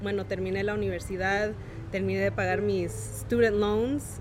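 A woman speaks with music playing in the background. The room echo is audible. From Santa Monica, California, Oaxacan parents. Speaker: café owner. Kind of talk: casual interview chat.

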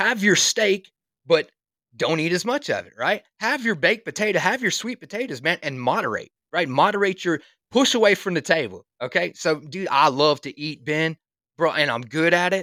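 At a moderate pace, a man with a South Carolina accent speaks in a high, bright, sharp voice with very wide pitch swings, the sound dry and close with no echo on a very clean recording with a silent background. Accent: Southern US (South Carolina). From US South, South Carolina. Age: 30s. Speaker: construction worker and fitness dad. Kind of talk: casual chat. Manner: animated.

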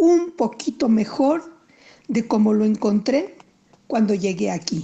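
Very slow and with a dark, mellow tone, a woman speaks. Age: 60s. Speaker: playwright. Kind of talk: recorded monologue.

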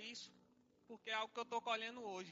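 A man speaks in an extremely high pitch. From Pernambuco, Brazil (Salgueiro). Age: 20s. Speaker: worship leader and lay preacher. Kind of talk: sermon. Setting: church service.

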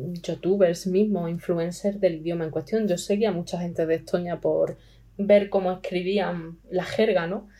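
A woman talks at a moderate pace in a dark, mellow tone at medium pitch. Her intonation stays monotone and flat. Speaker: language learner. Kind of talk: interview.

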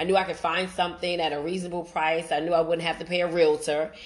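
A woman with an American accent speaks at a fairly low pitch with fairly even intonation, over noticeable background noise. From Brooklyn, New York. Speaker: podcast host. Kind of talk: personal testimony monologue.

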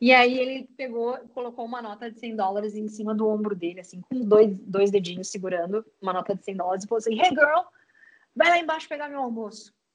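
A woman with a southern Brazilian accent, fairly high in pitch, fairly quick, lively in intonation, with big swings in loudness. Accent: gaúcho Brazilian Portuguese. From Rio Grande do Sul, Uruguaiana. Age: 30s. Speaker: startup co-founder and HR lead. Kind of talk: interview conversation. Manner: animated.

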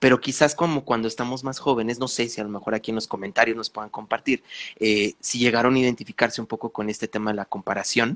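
This man talks at a very fast pace with fairly even intonation and a medium pitch. The sound is dry and close, with no echo. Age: 30s. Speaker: podcast host, spiritual coach. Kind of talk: casual chat.

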